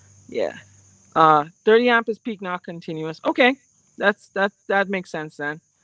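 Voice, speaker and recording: A woman at a medium pitch, fairly slow, lively in intonation, bright and sharp in tone, big swings in loudness, dry with no echo over a quiet background. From Caribbean. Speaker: amateur radio YouTuber; product reviewer. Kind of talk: live stream product demo and Q&A. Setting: outdoors. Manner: casual, hesitant with many fillers. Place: open country. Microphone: phone near.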